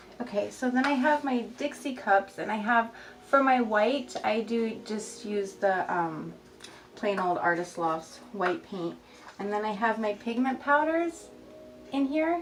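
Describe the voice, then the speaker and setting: Noticeable background noise surrounds a woman who speaks at a fairly slow pace with a fairly high pitch. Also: lively intonation. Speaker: resin artist. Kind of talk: tutorial. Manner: slightly slurred speech from new braces.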